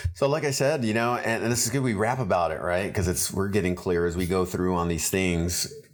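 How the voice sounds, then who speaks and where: A man with a very deep, low pitch talks fairly quickly with hardly any pauses and lively intonation. His loudness stays very even, and audible room echo surrounds him. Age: 50s. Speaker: firefighter and cycling coach. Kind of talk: casual chat.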